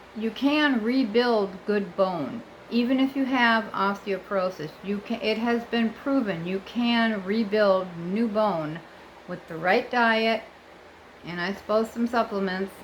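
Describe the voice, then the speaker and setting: A woman with an American accent has an unremarkable speaking voice. She talks at a fairly slow pace and fairly high pitch with ordinary pitch variation. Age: 60s. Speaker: vlogger. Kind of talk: casual vlog monologue. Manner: chatty, with fillers and self-corrections.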